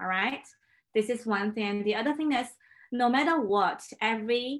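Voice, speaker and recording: A woman with a Chinese accent speaks with ordinary pitch variation. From China. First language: Mandarin Chinese. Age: 30s. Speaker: pianist. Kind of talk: casual chat.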